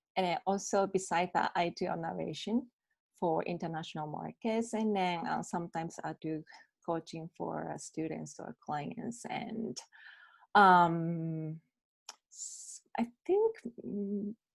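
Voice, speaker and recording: Speaking at a fairly slow pace, a woman has a Japanese accent. The sound is dry and close with no echo. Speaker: bilingual MC and voice actor. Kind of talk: interview answer. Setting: video call.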